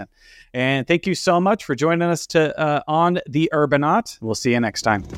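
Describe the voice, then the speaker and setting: A man speaks with a Texan accent. His pace is moderate. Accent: Texan American. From Texas. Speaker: podcast host. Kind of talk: casual interview. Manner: hesitant, many uh fillers.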